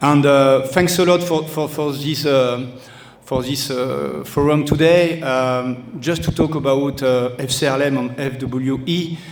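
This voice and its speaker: The speaker has a French accent and fairly even intonation. Room echo and background noise are both noticeable. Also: man. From France, Toulouse. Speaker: football club director. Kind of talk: speech at event. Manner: halting.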